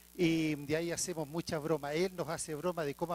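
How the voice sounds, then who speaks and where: A man with a Chilean accent speaks at a fairly quick pace in a high pitch. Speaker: archbishop. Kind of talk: lecture.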